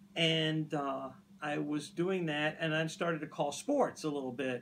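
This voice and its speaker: A man with an American accent, fairly high in pitch, fairly even in intonation, at a fairly slow pace. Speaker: radio host. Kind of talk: casual chat.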